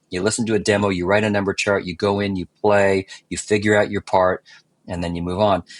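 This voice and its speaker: A man's fairly low voice, fairly quick and monotone with flat intonation, in a dry, close sound with no echo and a quiet background. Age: 60s. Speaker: session musician and producer. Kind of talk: casual interview. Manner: halting, many restarts and fillers.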